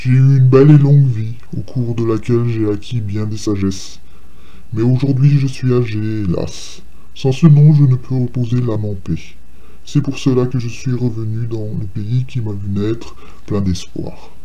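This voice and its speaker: Using a put-on character voice that is hoarse and of medium pitch, a man speaks at a moderate pace over noticeable background noise. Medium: read story. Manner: polite, formal.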